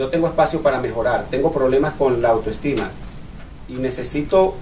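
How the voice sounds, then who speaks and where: Against light background noise, a man talks with ordinary pitch variation. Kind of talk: bible study teaching. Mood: earnest, personal testimony. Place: meeting room. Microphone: camera far.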